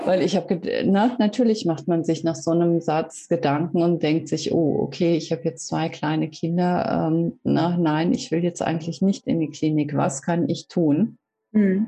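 A woman speaks at a fairly slow pace in a fairly low pitch, with a dark, mellow tone. Her pitch varies in an ordinary way and her loudness stays very even. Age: 40s. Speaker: reiki practitioner and coach. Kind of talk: interview. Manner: hesitant, many fillers.

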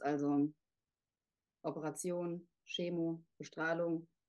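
In a quiet background, a woman speaks with a fairly low pitch, a dark, mellow tone and monotone, flat intonation. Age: 30s. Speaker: author. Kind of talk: interview.

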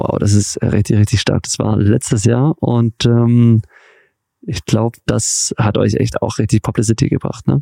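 Dark, mellow tone from a man at a medium pitch, with ordinary pitch variation. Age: 30s. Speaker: podcast host. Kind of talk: interview. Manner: animated.

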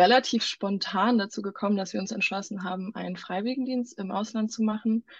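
Here a woman speaks at a medium pitch, her voice somewhat breathy. Her intonation stays fairly even. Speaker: medical student running a charity for children in Ghana. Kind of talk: casual interview.

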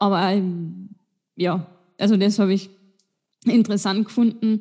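Fairly slow, medium-pitched speech from a woman. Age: 20s. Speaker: podcast co-host. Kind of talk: casual chat.

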